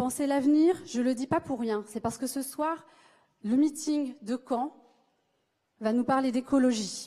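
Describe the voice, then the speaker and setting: Her pitch is high, but the woman's tone is dark and mellow. She speaks at a fairly slow pace with fairly even intonation. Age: 30s. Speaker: speech therapist and election candidate. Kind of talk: political rally speech. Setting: stage with audience.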